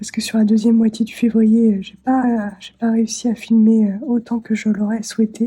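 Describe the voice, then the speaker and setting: A woman's somewhat breathy, dark and mellow voice at a fairly high pitch, monotone and flat, at a moderate pace. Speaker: craft vlogger. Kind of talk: casual vlog talk. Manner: halting, many hesitations.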